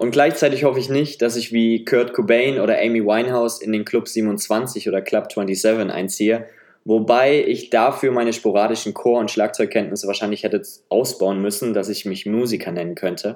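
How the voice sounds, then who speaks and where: Here is an ordinary speaking voice from a man at a medium pitch. He keeps a moderate pace and fairly even intonation. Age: 20s. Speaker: solo podcaster. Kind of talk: personal monologue.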